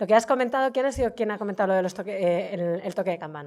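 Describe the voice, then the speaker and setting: The speaker is a woman. The background is silent and the recording very clean. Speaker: heritage official, lecturer. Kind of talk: lecture. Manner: fast.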